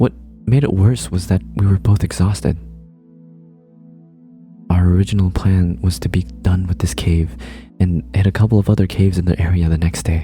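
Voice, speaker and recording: A man with a very deep, low voice speaks at a moderate pace with lively intonation and very even loudness, leaving long, frequent pauses as music plays in the background. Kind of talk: creepypasta horror story reading.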